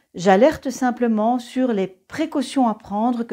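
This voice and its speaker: Against a quiet background, a woman speaks at a fairly slow pace with a high pitch and ordinary pitch variation. Her tone is dark and mellow. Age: 60s. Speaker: ceramics teacher. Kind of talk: personal introduction video. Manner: hesitant, many fillers.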